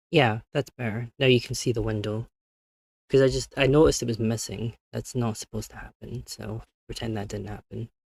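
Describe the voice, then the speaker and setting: A soft-spoken voice with vocal fry talks at a fairly quick pace, with big swings in loudness, ordinary pitch variation and a dry, close sound with no echo. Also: man, medium pitch for a man. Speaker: vtuber streamer. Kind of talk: live stream chat. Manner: halting.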